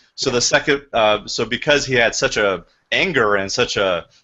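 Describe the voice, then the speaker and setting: This man's voice sits at a medium pitch. His intonation is lively. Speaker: real estate agent and trainer. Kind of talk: training session. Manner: fast.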